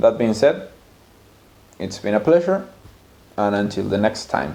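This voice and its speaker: In a Spanish accent, a man speaks at a fairly slow pace. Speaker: language teacher. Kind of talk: video monologue.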